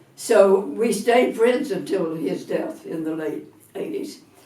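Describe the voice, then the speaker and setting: A woman with an American accent at a fairly slow pace, with audible room echo. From US South, Atlanta, Georgia. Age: 80s+. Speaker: retired minister. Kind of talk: interview testimony.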